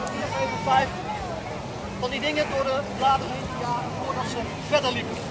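The speech moves at a moderate pace. Loud background noise is heard throughout. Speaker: weapons demonstrator presenting WWII weapons. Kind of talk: live demonstration commentary to a crowd. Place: open country.

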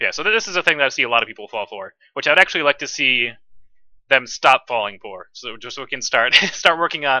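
A man talks at a very fast pace with big swings in loudness. The sound is dry with no echo, and the background is quiet. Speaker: streamer analyzing own match. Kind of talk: commentary. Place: home room.

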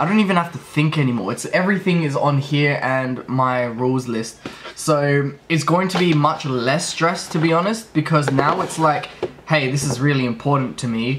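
Noticeable background noise sits behind a man's voice. He talks at a moderate pace with ordinary pitch variation. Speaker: trading vlogger. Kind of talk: casual vlog chat. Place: home room. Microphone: phone near.

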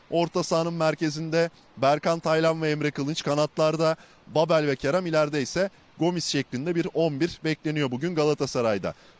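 Heard here is a plain, everyday voice, a man's, fairly high in pitch with fairly even intonation. He keeps a moderate pace, and the sound is dry with no echo. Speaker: sports reporter. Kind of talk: live report. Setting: outdoors. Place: stadium. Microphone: handheld.

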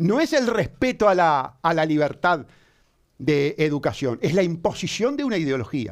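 A man speaks in an animated tone with very wide pitch swings. He keeps a moderate pace against a quiet background. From Uruguay. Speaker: lawyer. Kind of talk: heated debate. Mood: indignant. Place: studio. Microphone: headset.

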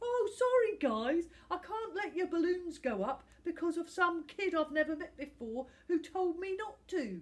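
A woman's put-on character voice, extremely high in pitch, with big pitch swings and a fairly slow pace

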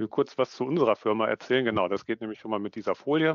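A man talks at a very fast pace with ordinary pitch variation. The sound is dry with no echo, and the background is quiet. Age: 30s. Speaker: management consultant, business psychologist. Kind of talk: online conference presentation. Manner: animated. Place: home room. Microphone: headset.

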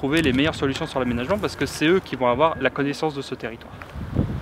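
The delivery is at a fairly quick pace with ordinary pitch variation. The sound is dry with no echo, over noticeable background noise. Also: man. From another French region, not the local one. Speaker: hunter and university supervisor. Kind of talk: interview. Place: open country.

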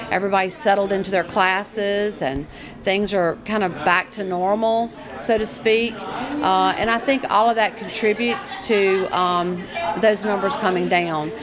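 Clear music plays in the background. A woman speaks at a moderate pace with ordinary pitch variation. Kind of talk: interview answer. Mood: calm, earnest. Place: hall.

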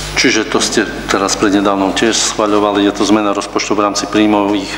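The speech runs at a fairly quick pace with monotone, flat intonation. Noticeable background noise sits behind it. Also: man. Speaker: mayor chairing council meeting. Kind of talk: formal council meeting proceedings. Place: meeting room. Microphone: podium.

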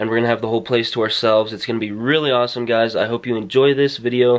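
Over a quiet background, the speaker talks at a very fast pace in a monotone, flat delivery. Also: man. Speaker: vlogger. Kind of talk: casual vlog chat. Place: home room. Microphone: phone near.

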